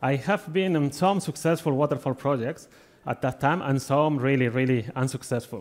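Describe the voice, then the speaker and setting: A man with a Spanish accent speaks at a moderate pace and a fairly high pitch. His pitch varies in an ordinary way, and his loudness is very even. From Spain. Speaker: agile delivery consultant, conference speaker. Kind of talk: conference talk. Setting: stage with audience.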